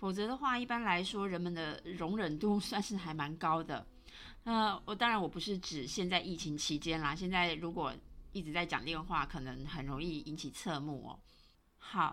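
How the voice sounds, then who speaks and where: Speaking in a Taiwanese accent, a woman has a bright, sharp tone. Her intonation is lively and her pace moderate. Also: fairly low pitch for a woman. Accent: Taiwanese Mandarin. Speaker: podcast host. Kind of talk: solo podcast monologue. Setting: home recording.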